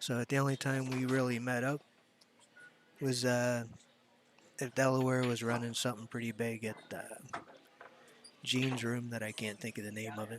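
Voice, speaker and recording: A man with an American accent at a moderate pace and medium pitch, fairly even intonation, long, frequent pauses, and noticeable background noise. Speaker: pool commentator, pool player. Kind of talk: live sports commentary. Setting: commentary booth with headphones.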